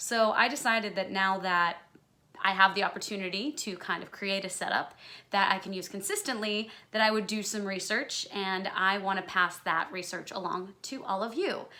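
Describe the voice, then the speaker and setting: Loud and bright with a sharp tone, a woman speaks at a moderate pace with fairly even intonation. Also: medium pitch for a woman. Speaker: musical theater performer and vocalist. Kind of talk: tutorial. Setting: home recording setup.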